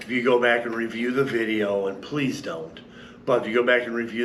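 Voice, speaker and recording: A man speaks at a medium pitch and moderate pace, with fairly even intonation. Audible room echo and noticeable background noise are present. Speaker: paramotor pilot recovering from an accident. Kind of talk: casual video update. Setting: empty classroom.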